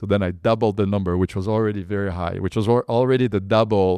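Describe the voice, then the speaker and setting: A man speaks in a French accent with a very deep, low pitch and a dark, mellow tone. The sound is dry and close with no echo, over a quiet background. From France, Paris suburbs. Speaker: entrepreneur. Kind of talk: interview storytelling. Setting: podcast interview. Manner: animated; halting, many fillers.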